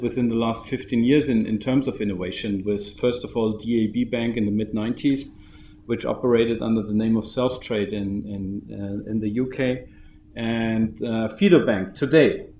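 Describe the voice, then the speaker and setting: With a German accent, a man talks at a moderate pace in a medium-pitched voice with ordinary pitch variation, and the room echo is audible. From Germany. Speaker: bank founder and CEO. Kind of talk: conference keynote. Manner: halting, with many repetitions.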